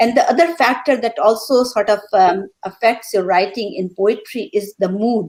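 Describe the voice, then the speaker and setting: A woman speaks with an Indian accent at a fairly high pitch. Her pace is moderate. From India, Calcutta. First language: Hindi. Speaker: poet. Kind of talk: panel discussion. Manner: halting.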